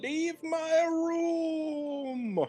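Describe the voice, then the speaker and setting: A high-pitched, put-on character voice is heard over faint music in the background. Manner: eerie, commanding.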